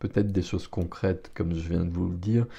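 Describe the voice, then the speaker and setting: This man's voice is somewhat breathy, with a dark, mellow tone. The background is quiet. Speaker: tarot reader. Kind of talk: tarot reading. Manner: hesitant, with fillers.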